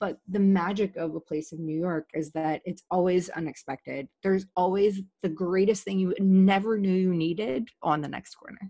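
A woman with an unremarkable speaking voice talks at medium pitch with fairly even intonation and hardly any pauses. The sound is dry and close, with no echo. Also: moderate pace. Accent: American. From Virginia, US. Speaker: podcast guest. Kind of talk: casual interview chat.

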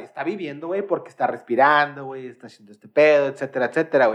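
Here is a man with a fairly high pitch. He talks at a fairly quick pace. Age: 20s. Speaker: podcast host. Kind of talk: casual chat. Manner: animated.

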